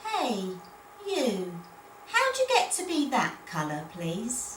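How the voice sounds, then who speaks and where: A woman speaks in a put-on character voice, high-pitched and very slow. Clear background noise runs behind her. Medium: read story.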